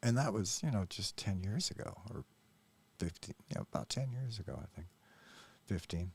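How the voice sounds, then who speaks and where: A somewhat breathy voice with an American accent. The intonation is lively and the pace moderate. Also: man, fairly low pitch for a man, dry, close sound with no echo. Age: 60s. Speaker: YouTube commentator. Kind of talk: reaction commentary monologue. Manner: hesitant, many fillers.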